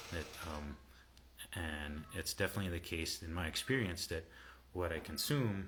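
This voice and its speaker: A man speaks softly. His pitch is very deep and low. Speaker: health coach and herbalist. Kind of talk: livestream talk to viewers. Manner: soft-spoken; halting, many fillers.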